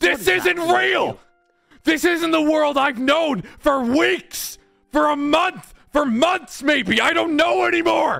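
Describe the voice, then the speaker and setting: Over faint background music, a man puts on a character voice at an extremely high pitch and speaks at a fairly slow pace. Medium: virtual streamer. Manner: frantic, repetitive denial.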